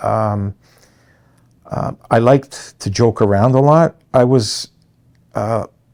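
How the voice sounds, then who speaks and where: With a dark, mellow tone and medium pitch, a man speaks at a fairly slow pace with ordinary pitch variation. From Canada, Toronto. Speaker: construction company president. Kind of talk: interview monologue. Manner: hesitant fillers.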